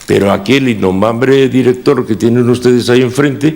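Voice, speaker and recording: A man with vocal fry speaks at a moderate pace and medium pitch. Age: 60s. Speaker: former municipal chief architect. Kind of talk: testimony at a council inquiry. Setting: council committee hearing.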